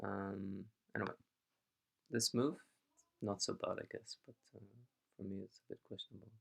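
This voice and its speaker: The speech moves at a moderate pace with long, frequent pauses and big swings in loudness, in a dry, close sound with no echo. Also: man. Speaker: go teacher reviewing games. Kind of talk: live stream game review. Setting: live stream. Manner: halting.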